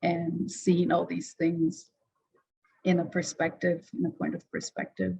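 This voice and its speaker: A woman speaks with a fairly low pitch and vocal fry. Her pace is fairly slow. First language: not English. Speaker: designer presenting their work. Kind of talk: presentation. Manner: hesitant, many fillers. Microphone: video call.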